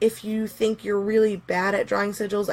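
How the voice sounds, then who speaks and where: A woman with a plain, everyday voice speaks at a fairly quick pace, her pitch medium. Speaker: pagan teacher. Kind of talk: live stream workshop. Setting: live stream. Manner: casual with many fillers.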